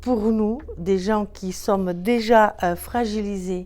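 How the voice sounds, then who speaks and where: The delivery is very slow, with monotone, flat intonation and a dark, mellow tone. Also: woman. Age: 50s. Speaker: career changer, former home care worker. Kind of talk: testimony. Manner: hesitant, many fillers.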